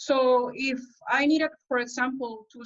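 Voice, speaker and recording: The intonation stays fairly even. The speech comes with a Spanish accent. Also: woman. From El Salvador. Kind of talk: panel talk at an online conference. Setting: online webinar. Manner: halting, with many fillers.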